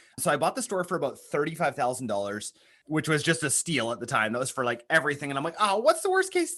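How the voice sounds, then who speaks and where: With a Canadian accent, a man talks very fast in a fairly high, bright and sharp voice with lively intonation. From Canada. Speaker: marketing agency founder. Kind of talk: interview. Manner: conversational, some stammering.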